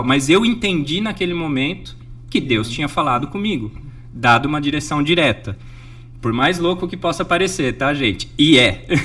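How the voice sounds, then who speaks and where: This man has a plain, everyday voice, pitched fairly high. He speaks at a moderate pace with lively intonation. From Brazil, Jundiaí, São Paulo state. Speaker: sailor, NGO founder and speaker. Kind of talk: interview.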